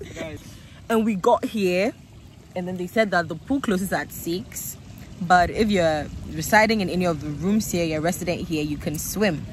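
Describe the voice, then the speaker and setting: A somewhat breathy woman's voice, fairly low in pitch, with ordinary pitch variation, moderate pace, dry sound with no echo and light background noise. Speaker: vlogger. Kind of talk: casual vlog chat. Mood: playful, teasing rant. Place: waterside. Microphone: phone near.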